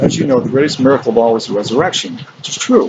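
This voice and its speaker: A man at a very fast pace with lively intonation, over noticeable background noise. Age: 60s. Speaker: spiritual speaker. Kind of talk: monologue. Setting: outdoors.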